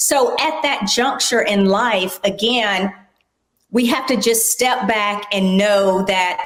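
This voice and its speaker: Fairly slow female speech, with audible echo from the room. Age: 60s. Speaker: aging advocate and corporate professional. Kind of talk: interview.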